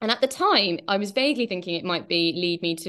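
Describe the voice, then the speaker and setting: Her intonation rises and falls in a lively way. The woman talks very fast. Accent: English. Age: 30s. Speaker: novelist. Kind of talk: interview.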